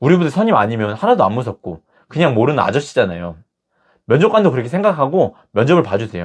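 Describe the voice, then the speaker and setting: This very fast speaker swings through very wide pitch changes with vocal fry, against a quiet background. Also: man. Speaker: career coach youtuber. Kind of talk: advice talk to camera.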